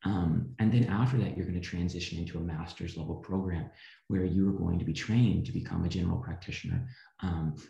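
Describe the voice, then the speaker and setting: The voice carries a dark, mellow tone and is somewhat breathy, with an American accent, ordinary pitch variation and a fairly quick pace. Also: man. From US Midwest, rural Missouri. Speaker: physician assistant student. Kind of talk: interview.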